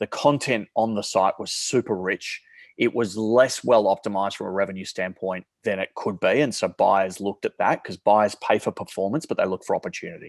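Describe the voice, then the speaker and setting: The recording is very clean, with a silent background. On it, a man with an Australian accent speaks at a fairly low pitch. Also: ordinary pitch variation, hardly any pauses, dry, close sound with no echo. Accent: thick Australian. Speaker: marketplace company CEO. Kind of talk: podcast interview.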